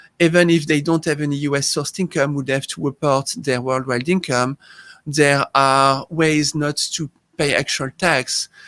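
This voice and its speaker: With a French accent, a man speaks at a moderate pace in a fairly high pitch with fairly even intonation, the sound dry and close with no echo in a very clean recording with a silent background. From France. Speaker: tax accountant. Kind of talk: interview.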